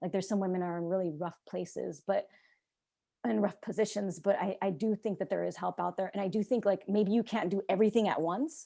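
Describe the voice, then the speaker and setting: Fairly quick and medium in pitch, a woman's voice has a dark, mellow tone and vocal fry. Her pitch variation is ordinary, and the recording is very clean with a silent background. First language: Czech. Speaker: abuse survivor and artist. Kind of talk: interview, personal testimony. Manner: halting, repetitive restarts.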